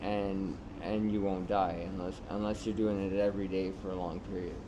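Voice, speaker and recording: Fairly slow speech from a man, with room echo clearly audible. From Canada, Toronto area. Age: 30s. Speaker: homeless man with addiction. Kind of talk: documentary interview. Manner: hesitant, many fillers.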